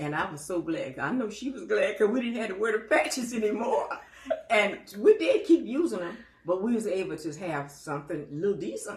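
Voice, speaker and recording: Her pitch is medium for a woman, with very wide swings, and her loudness rises and falls sharply. She talks at a fairly quick pace against noticeable background noise. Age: 90s. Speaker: elderly storyteller. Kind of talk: casual interview. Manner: halting.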